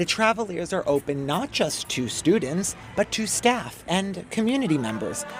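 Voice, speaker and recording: Music plays in the background as a man speaks at a high pitch with very wide pitch swings. He keeps a moderate pace with hardly any pauses. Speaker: TV lifestyle host and reporter. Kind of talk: TV news feature narration.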